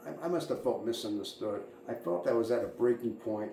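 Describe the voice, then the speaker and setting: A man talks at a fairly quick pace with an American accent. Audible room echo and noticeable background noise surround him. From suburban Boston area, US. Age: 60s. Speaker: fuel truck driver and channel host. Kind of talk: personal monologue, life story. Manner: halting, many fillers and repetitions.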